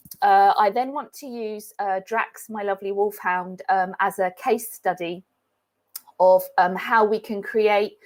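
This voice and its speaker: With a British accent, a woman speaks at a fairly slow pace and medium pitch, her intonation fairly even while her loudness swings widely. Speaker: animal behaviourist. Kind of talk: webinar lecture. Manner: halting with many fillers.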